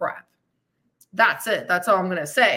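A woman's raised, projected voice, animated, with a bright, sharp tone. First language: not English. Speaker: fitness and weight loss coach, podcast host. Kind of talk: live-streamed podcast monologue with audience comments. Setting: live stream.

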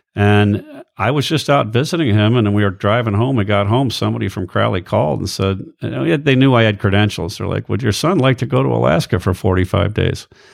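A man talking very fast in an American accent, fairly low in pitch, with lively intonation and vocal fry. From US, Air Force bases all over. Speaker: ship captain. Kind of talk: casual interview chat. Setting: host's living room.

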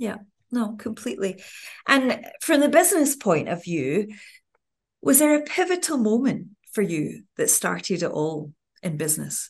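At a moderate pace with long, frequent pauses, a woman speaks at a fairly high pitch with vocal fry. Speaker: podcast host and television presenter. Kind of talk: interview intro and questions.

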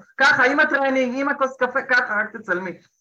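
Her voice is high-pitched, bright, and sharp. The woman speaks at a fairly quick pace. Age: 40s. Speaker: business consultant. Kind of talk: interview.

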